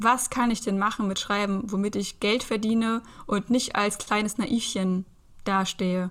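Intonation is monotone and flat. The speaker is a woman with a medium-pitched voice. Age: 30s. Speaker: aspiring Reiki practitioner and van traveller. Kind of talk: casual interview.

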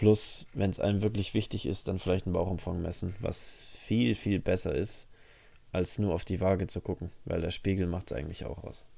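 The recording is very clean, with a silent background. A man speaks at a moderate pace in a very deep, low pitch and a dark, mellow tone. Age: 20s. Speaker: podcast co-host, personal trainer. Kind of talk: casual chat. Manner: animated.

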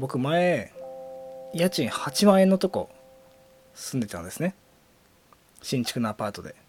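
A man at a fairly high pitch, fairly slow, with very wide pitch swings, big shifts in loudness, long frequent pauses and music in the background. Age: 20s. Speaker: podcast host and coach. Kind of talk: casual solo monologue. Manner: animated, frequent laughter.

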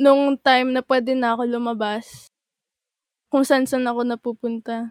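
A woman with a high pitch speaks at a moderate pace in monotone, flat intonation, in a dry, close sound with no echo. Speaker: podcast manager and guest. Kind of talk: casual chat.

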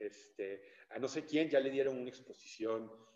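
A man speaks in a dark, mellow tone at a medium pitch. His pace is fairly slow. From Mexico City. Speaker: painter and art teacher. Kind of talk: interview. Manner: hesitant, with fillers.

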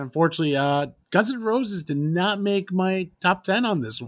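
At a moderate pace, a man speaks with lively intonation in a high pitch. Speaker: podcast host. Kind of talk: casual chat.

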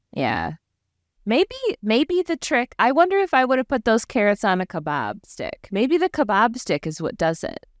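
At a moderate pace, a woman with a fairly high voice and vocal fry speaks in an animated tone, her pitch swinging very widely, in a dry, close recording with no echo. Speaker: podcast host. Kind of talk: casual chat. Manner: animated, laughs often.

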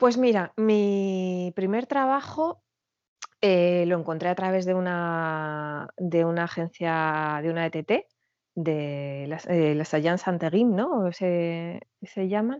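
A woman with a fairly low pitch at a very slow pace. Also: ordinary pitch variation. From Madrid, Spain. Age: 40s. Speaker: emigrant sharing her story. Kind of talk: interview testimony. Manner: halting, with repetitions.

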